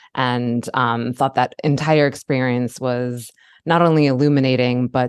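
Over a quiet background, a woman with an American accent speaks in a very deep, low voice with monotone, flat intonation. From Baltimore, Maryland. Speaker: podcast host, marketing consultant. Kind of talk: interview.

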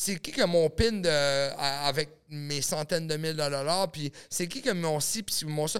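A normal speaking voice at a fairly slow pace, very clean recording, silent background. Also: man. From New Brunswick, Canada (small village). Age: 30s. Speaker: adult film producer and actor. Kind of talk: casual podcast chat.

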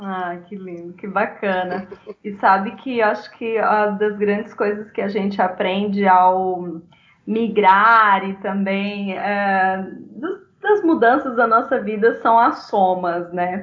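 Delivered at a very slow pace, the speech shows fairly even intonation but big swings in loudness. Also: woman, medium pitch for a woman. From Brazil, small town. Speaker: psychologist and migrant rights activist. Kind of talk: casual interview.

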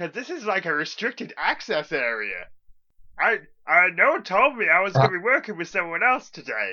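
A put-on character voice at a middle pitch. It moves at a moderate pace. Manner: hesitant, awkward, friendly.

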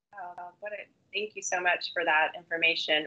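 Here is a woman with an unremarkable speaking voice. Her pitch is medium and her intonation fairly even. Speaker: webinar moderator. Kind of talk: moderating a live webinar.

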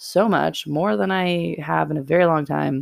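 Animated tone from a woman with an American accent. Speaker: podcast host. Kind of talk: casual chat.

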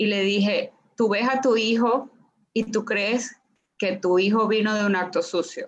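This woman talks at a fairly slow pace with a fairly high pitch and very even loudness. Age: 40s. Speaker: sex and relationship coach. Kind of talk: casual interview chat. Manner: animated.

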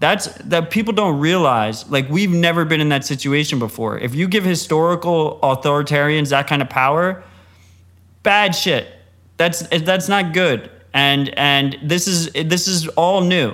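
This man has an unremarkable speaking voice with fairly high pitch and ordinary pitch variation. He talks at a fairly slow pace, and his loudness stays very even. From United States. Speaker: podcast co-host and Bitcoin commentator. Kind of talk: casual interview.

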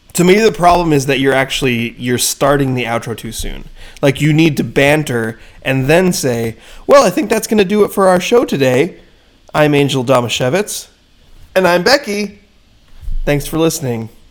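A man with a fairly high pitch, lively intonation and a moderate pace. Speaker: sports podcast co-host. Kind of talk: casual chat. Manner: laughs a lot.

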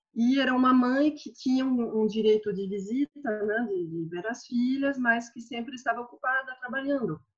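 Speaking with a French accent, a woman has a high pitch and ordinary pitch variation. Her moderate pace comes with big swings in loudness. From northern France. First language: French (speaking Portuguese). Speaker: university lecturer. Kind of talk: personal testimony in panel.

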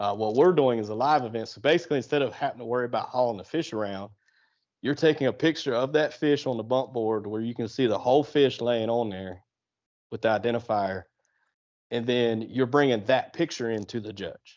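At a fairly quick pace, a man with an American accent uses a normal speaking voice at medium pitch with ordinary pitch variation. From southeastern Ohio, on the Ohio River. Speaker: kayak fishing tournament organizer. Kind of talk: casual interview.

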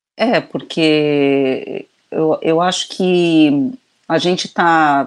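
The speaker is a woman. Her voice sits at a very deep, low pitch. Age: 50s. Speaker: video director and children's author. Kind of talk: casual chat. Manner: halting, many repetitions.

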